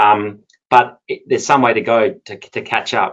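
Here is a man with an Australian accent. His pitch is medium, with ordinary variation. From Perth, Australia. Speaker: energy lawyer. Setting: online webinar.

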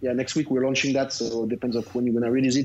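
A man speaks with a French accent. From France, Lyon. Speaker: tech entrepreneur. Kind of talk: interview. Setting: remote call.

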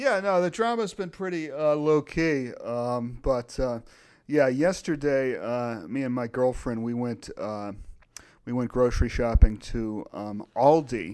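A man with an unremarkable speaking voice talks at a medium pitch with lively intonation. The recording is very clean, with a silent background. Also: fairly slow pace. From Virginia. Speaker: philosopher podcast co-host. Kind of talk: casual chat.

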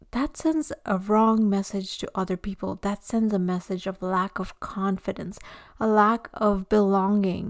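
A woman speaks in a plain, everyday voice at a medium pitch with ordinary pitch variation. Her pace is fairly slow, and the recording is very clean with a silent background. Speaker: podcast host. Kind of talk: scripted intro and interview.

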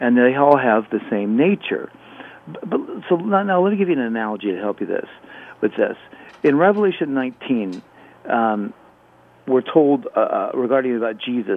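Pitched at a medium level, a man's voice makes very wide pitch swings between long, frequent pauses. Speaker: professor, Bible apologist. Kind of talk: live radio call-in show. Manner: fast talker.

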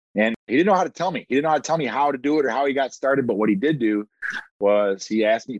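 A man with an American accent talks at a very fast pace with lively intonation. The sound is dry and close, with no echo. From US Midwest, Toledo, Ohio. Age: 40s. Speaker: real estate investor. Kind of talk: interview.

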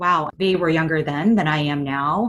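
A woman speaks fairly slowly in a fairly low pitch and a normal speaking voice, with ordinary pitch variation. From United States (born in Korea, moved as small child). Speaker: podcast co-host, startup founder, former lawyer. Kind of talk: casual chat; scripted show intro and outro.

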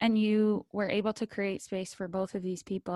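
With a Canadian accent, a woman talks at a fairly quick pace in a plain, everyday voice of medium pitch. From London, Ontario, Canada. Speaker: podcast host. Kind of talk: interview.

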